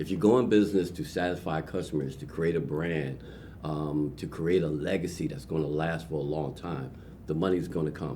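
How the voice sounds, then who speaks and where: In a room with audible echo, a man speaks at a fairly quick pace with a very deep, low pitch, a dark, mellow tone, vocal fry and fairly even intonation. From Trenton, New Jersey. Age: 60s. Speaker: entrepreneur. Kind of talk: interview.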